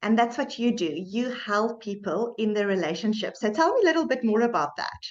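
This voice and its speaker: Here a woman with a South African accent talks at a fairly quick pace. Her pitch is fairly high and her intonation lively. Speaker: medical doctor and podcast host. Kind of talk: podcast interview.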